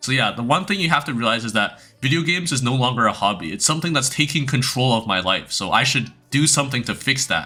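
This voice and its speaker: A man with a non-native accent talks very fast at a medium pitch, his bright, sharp tone carrying lively intonation with hardly any pauses. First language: not English. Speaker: youtuber, former competitive gamer. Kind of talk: casual advice monologue. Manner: hesitant, many fillers and restarts.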